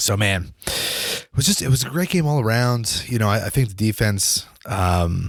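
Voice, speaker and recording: A man at a medium pitch and moderate pace, an unremarkable speaking voice with hardly any pauses. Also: lively intonation. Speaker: sports podcast host. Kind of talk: casual solo podcast chat.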